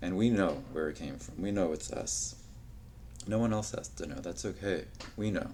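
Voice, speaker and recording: Audible room echo carries a man's very deep, low voice at a moderate pace, broken by long, frequent pauses. His pitch swings very widely. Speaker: podcast host. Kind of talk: solo podcast monologue. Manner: halting, stuttering.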